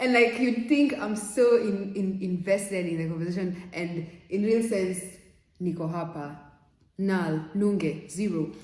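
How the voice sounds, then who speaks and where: A woman at medium pitch speaks in an animated tone at a fairly slow pace, with ordinary pitch variation. Audible room echo and noticeable background noise fill the recording. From Kenya. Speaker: vlogger. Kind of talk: casual vlog talk.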